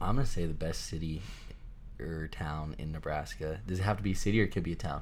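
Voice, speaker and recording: This man has a very deep, low pitch and talks at a very fast pace. His intonation is lively, and audible room echo surrounds him. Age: 20s. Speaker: college aviation student. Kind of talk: casual chat.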